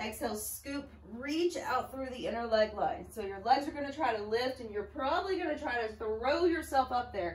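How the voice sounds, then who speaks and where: A high-pitched woman with lively intonation and hardly any pauses, with audible room echo and noticeable background noise. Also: moderate pace. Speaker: pilates instructor. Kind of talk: fitness class instruction.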